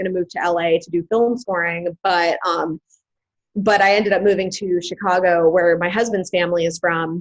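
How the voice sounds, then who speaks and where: A woman talks at a medium pitch in an ordinary speaking voice. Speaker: singer-songwriter. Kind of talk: webinar presentation.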